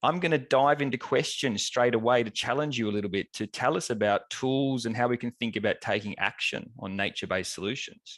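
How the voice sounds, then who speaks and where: With an Australian accent, a man talks at a fairly quick pace and medium pitch, with ordinary pitch variation and hardly any pauses, in a dry, close sound with no echo over a quiet background. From Australia, Melbourne. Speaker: professor and webinar moderator. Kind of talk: webinar moderation. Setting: online event.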